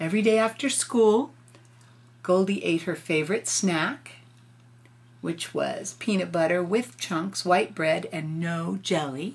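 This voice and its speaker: A woman with vocal fry and a fairly low pitch, speaking fairly slowly with lively intonation. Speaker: grandmother reading a picture book aloud. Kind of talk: children's story read-aloud with casual asides to the child.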